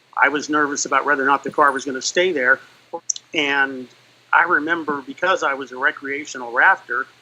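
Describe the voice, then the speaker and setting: Over noticeable background noise, a man talks at a fairly quick pace and fairly high pitch. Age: 60s. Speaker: fire service veteran, rescue trainer. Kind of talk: interview testimony. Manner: halting, many fillers.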